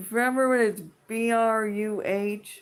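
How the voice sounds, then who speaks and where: A woman's animated voice at medium pitch, with ordinary pitch variation. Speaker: live streamer. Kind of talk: casual live stream rant. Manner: blunt.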